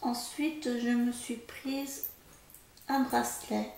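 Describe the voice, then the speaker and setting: The speaker is soft-spoken. Room echo is audible, along with noticeable background noise. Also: woman. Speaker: haul vlogger. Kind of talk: casual product haul vlog. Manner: hesitant, many fillers.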